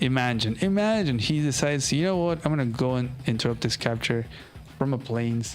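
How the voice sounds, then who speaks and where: A relaxed man with a non-native accent, medium in pitch, fairly quick, with lively intonation and very even loudness, amid audible room echo and music in the background. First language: not English. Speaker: strategy game streamer. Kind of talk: live game commentary and match review. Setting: live stream. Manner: casual, relaxed.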